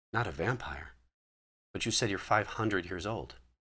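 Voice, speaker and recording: This is a man with a fairly low voice. He is doing a put-on character voice. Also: moderate pace. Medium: read story.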